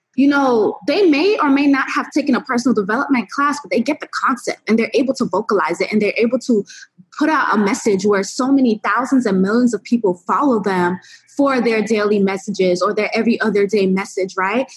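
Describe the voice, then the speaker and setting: A woman talks at a fairly quick pace in an ordinary speaking voice, her fairly high pitch showing ordinary pitch variation. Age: 20s. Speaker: entrepreneur and app founder. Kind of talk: interview.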